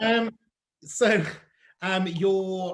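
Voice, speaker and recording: A man talks loudly in a high pitch. He has a slight Cardiff accent. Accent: slight Cardiff twinge. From South Yorkshire. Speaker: drag performer and host. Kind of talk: casual interview. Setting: online live stream.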